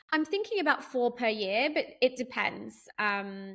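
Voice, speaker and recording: At a moderate pace, a woman talks with a British accent. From London. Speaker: governess and childcare business owner. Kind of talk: podcast interview answer.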